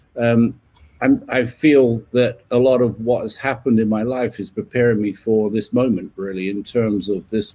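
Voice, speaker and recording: Using an English accent, a man with a medium-pitched, dark, mellow voice talks at a moderate pace with fairly even intonation. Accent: English accent, kept after 30 years in US. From southern England, west of London. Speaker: leadership coach. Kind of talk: interview. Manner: halting, many fillers and repeats.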